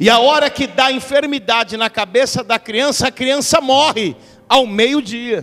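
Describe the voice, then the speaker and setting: Bright and sharp in tone, a man speaks animatedly at a fairly slow pace, his pitch extremely high with ordinary variation. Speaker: visiting preacher. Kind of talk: sermon with prophecy. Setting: church. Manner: animated, fervent, call-and-response.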